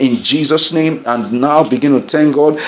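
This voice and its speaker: Over noticeable background noise, a man with a Nigerian accent talks in an intense tone at a fairly high pitch. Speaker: pastor leading prayer. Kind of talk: fervent group prayer led live, imploring and declaring. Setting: online broadcast prayer for people at home. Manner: intense, urgent and exhorting, rising with passion; commanding, repetitive, preacher-like cadence.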